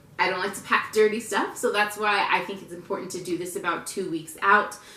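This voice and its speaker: A woman speaks at medium pitch. Noticeable background noise and audible room echo are present. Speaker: lifestyle vlogger, military spouse. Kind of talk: casual tutorial vlog. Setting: at home, rocking her baby. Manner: loud; casual, chatty.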